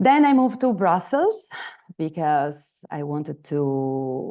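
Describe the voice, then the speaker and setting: Speaking very slowly with an Italian accent, a woman uses a very deep, low pitch and lively intonation. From Italy, Naples. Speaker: trainer. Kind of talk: online training session. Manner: halting, many fillers.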